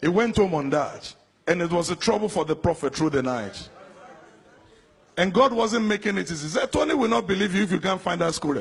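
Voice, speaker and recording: Over noticeable background noise, a man talks at a fairly quick pace in a high pitch with lively intonation. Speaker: preacher. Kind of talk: sermon.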